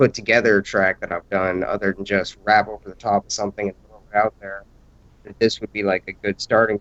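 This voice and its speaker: A man's fairly low, monotone voice with flat intonation, big swings in loudness, a fairly quick pace, and a dry, close sound with no echo. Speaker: rapper. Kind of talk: casual chat. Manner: soft-spoken.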